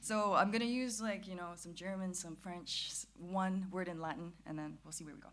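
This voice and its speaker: This woman speaks at a medium pitch with ordinary pitch variation. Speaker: philosophy student and YouTuber. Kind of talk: conference talk. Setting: conference stage with audience. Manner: fast; casual, hesitant with fillers.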